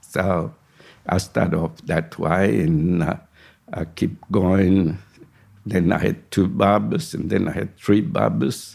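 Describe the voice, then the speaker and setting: With vocal fry and a very deep, low pitch, a man talks at a very slow pace using lively intonation. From Sicily, Italy. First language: Italian. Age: 80s+. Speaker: retired barber and migrant. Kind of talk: oral history interview.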